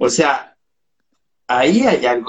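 Someone with a Chilean accent speaks at a very slow pace. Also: man. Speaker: cultural promoter. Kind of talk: casual chat.

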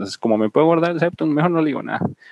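A man's voice with ordinary pitch variation, in a dry, close sound with no echo. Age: 20s. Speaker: student. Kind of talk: casual chat. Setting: video call.

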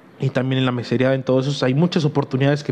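Noticeable background noise sits behind this man's voice. He speaks at a medium pitch with fairly even intonation. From Mexico, Huejotzingo, Puebla. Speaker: podcast host. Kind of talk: solo podcast monologue. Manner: halting, many fillers.

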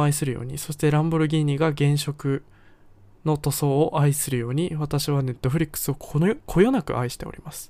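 In a very clean recording with a silent background, the speaker uses a relaxed tone, fairly even intonation and a fairly quick pace. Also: man. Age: 20s. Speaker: podcast host. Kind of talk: solo podcast, partly reading from own article. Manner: relaxed, frequent fillers.

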